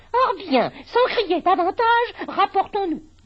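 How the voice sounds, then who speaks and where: Putting on a character voice, a woman speaks at an extremely high pitch with lively intonation and a fairly slow pace. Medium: read story. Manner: arrogant, argumentative.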